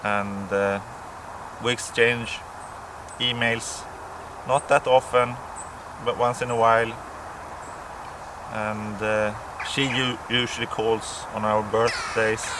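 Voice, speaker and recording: A man's medium-pitched, flat, monotone voice at a very slow pace, with long, frequent pauses and noticeable background noise. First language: Swedish or Finnish. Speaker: pipe smoking vlogger. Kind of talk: casual monologue to camera. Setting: outdoors near a farmhouse. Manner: hesitant, many fillers and repeats.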